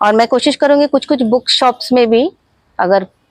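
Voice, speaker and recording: A woman speaks in a Bengali accent at a fairly high pitch. Her intonation is lively, in a dry, close sound with no echo. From Ranchi, Jharkhand, India. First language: Bengali (speaking Hindi). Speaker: author and life coach. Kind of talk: interview.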